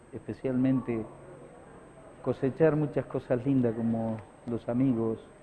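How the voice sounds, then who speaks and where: Monotone, flat intonation from a man at a medium pitch. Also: long, frequent pauses. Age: 60s. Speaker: radio broadcaster. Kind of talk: interview. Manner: halting, many fillers and repetitions.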